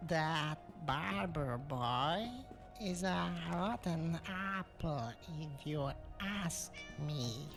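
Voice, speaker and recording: With clear music behind it, a put-on character voice at middle pitch moves very slowly, broken by long, frequent pauses. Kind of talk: grumbling. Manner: deliberately terrible, hammy.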